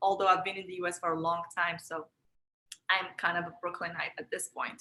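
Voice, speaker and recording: A bright, sharp tone at a fairly quick pace, with a Moroccan accent. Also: woman. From Morocco, Marrakesh. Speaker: energy practice teacher, self-care coach. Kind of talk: online workshop, guided energy practice. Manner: calm, soothing guidance.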